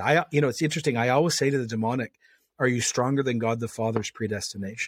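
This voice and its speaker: A very fast delivery with ordinary pitch variation, on a very clean recording with a silent background. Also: man. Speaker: pastor. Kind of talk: interview. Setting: studio. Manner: forceful.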